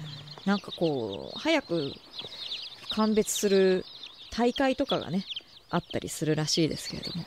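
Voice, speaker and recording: A woman at medium pitch speaks at a moderate pace, with very wide pitch swings and big swings in loudness. Long, frequent pauses break her speech, and noticeable background noise is present. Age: 20s. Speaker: radio host. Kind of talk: casual chat. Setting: studio.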